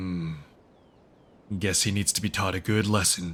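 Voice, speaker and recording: A man speaks in a put-on character voice. His pitch is very deep and low, and his pace is moderate. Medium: fan dub. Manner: casual, teasing, lighthearted.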